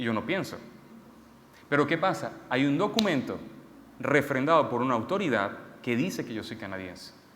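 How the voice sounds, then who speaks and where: With long, frequent pauses and audible room echo, a man speaks at a moderate pace in a fairly high pitch that swings very widely. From Venezuela. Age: 30s. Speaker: preacher. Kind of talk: sermon.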